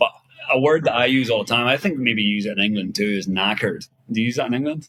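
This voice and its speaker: Talking at a very fast pace, a man has a bright, sharp tone. His pitch is medium, with ordinary variation. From Northern Ireland, Kilkeel. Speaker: adventurer and travel blogger. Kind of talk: casual interview chat.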